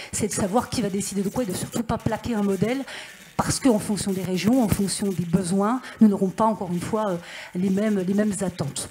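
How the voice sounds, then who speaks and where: With noticeable background noise behind her, a woman talks at a medium pitch with fairly even intonation. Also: fairly quick pace. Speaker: senator and regional councillor. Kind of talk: panel discussion remarks. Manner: fast.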